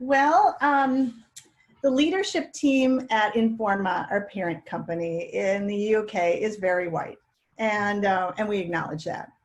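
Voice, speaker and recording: Fairly high in pitch, a woman uses a plain, everyday voice with lively intonation. She speaks at a fairly slow pace. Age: 60s. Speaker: catering trade event leader. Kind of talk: panel discussion.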